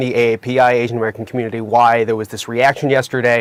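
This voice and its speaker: The sound is dry and close with no echo as a man speaks at a medium pitch. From Boston, Massachusetts, US. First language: Korean. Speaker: sports journalist. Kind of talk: TV commentary. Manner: halting.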